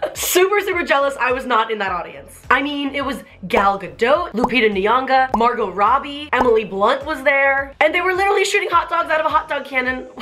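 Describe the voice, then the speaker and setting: A woman's raised, projected voice, high in pitch with very wide pitch swings and an animated tone, fairly quick and with hardly any pauses, over noticeable background noise. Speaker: YouTuber. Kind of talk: casual vlog commentary.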